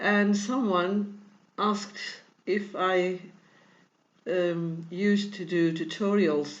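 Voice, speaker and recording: Audible room echo surrounds a woman's medium-pitched voice. She speaks at a very slow pace with ordinary pitch variation. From Portugal. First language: Portuguese. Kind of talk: tutorial. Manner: halting, many fillers; non-fluent English.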